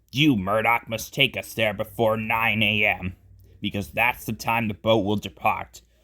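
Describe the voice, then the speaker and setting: A man speaks in a put-on character voice that is raspy, at medium pitch, with fairly even intonation. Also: moderate pace. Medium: read story. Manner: authoritative.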